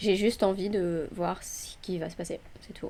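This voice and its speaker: A woman speaks in a calm, relaxed tone. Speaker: day trader. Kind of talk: live trading commentary. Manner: hesitant, with fillers.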